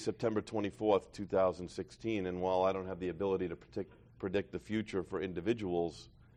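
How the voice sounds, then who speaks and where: Speaking with a New York accent, a man with a fairly low pitch keeps a moderate pace. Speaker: recovery meeting speaker. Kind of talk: testimony.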